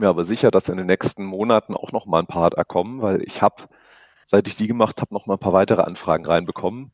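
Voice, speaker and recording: This man's voice sits fairly low. He speaks at a very fast pace. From Stuttgart, Swabia. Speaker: insurance broker. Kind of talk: interview. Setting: phone call.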